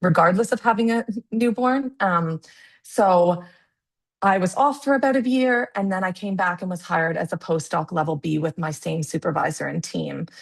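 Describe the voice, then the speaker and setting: A woman with a Canadian accent speaks at a moderate pace in a medium, somewhat breathy voice with lively intonation against a quiet background. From Canada. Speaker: public health researcher. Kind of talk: webinar presentation. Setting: video call. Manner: halting, many fillers.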